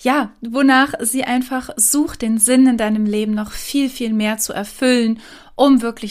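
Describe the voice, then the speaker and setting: This woman has an ordinary speaking voice. Her pitch is fairly high and her intonation fairly even. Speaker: meditation guide and podcast host. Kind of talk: guided meditation. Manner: slow, calm, soothing; gentle, pausing, dreamy.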